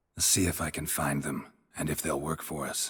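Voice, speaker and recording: A man does a put-on character voice at a very deep, low pitch and a fairly quick pace. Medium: video game. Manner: terse, clipped, dry.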